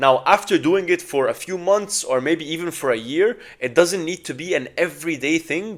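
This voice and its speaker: A high-pitched man with an Arabic accent speaks at a moderate pace with hardly any pauses. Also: ordinary pitch variation. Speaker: language learning vlogger. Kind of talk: casual advice talk to camera.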